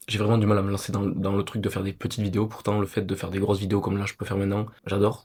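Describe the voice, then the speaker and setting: Somewhat breathy and fairly low in pitch, a man talks at a very fast pace with monotone, flat intonation. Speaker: vlogger. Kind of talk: personal vlog. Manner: soft-spoken.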